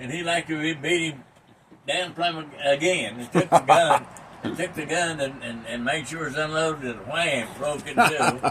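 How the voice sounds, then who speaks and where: A man with an American accent and fairly high pitch, moderate pace, ordinary pitch variation and big swings in loudness, amid noticeable background noise. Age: 80s+. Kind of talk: casual storytelling to family.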